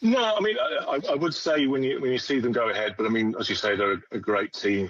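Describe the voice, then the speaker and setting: In a West Midlands accent, a man talks at a very fast pace with very wide pitch swings and very even loudness. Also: medium pitch for a man. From West Midlands, England. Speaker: sports fan. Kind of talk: radio interview. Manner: halting.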